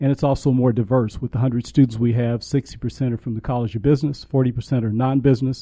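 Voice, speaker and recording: His voice sits at a medium pitch and sounds somewhat breathy. This man's intonation stays monotone and flat. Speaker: university program director. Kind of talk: radio interview. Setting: studio.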